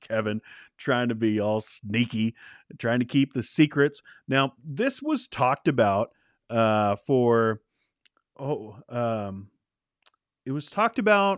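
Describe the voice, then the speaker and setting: Lively intonation comes through a dry, close sound with no echo against a quiet background. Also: man. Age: 30s. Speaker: movie news podcast host. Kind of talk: live-streamed solo commentary. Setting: live stream. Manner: casual, animated.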